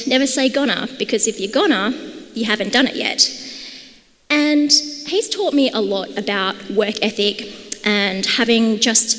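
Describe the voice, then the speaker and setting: With a strong Australian accent, a woman speaks at a fairly slow pace with ordinary pitch variation and long, frequent pauses over noticeable background noise. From Australia, Perth. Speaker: conference speaker, product and design lead. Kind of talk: conference talk. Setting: stage with audience. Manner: animated.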